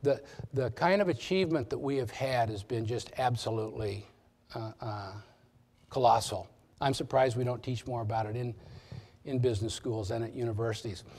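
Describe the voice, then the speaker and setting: A somewhat breathy man with an American accent, medium pitch and ordinary pitch variation, at a fairly quick pace with long, frequent pauses. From Nebraska, US Midwest. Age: 60s. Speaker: business executive, guest speaker. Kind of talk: lecture. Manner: halting, many restarts.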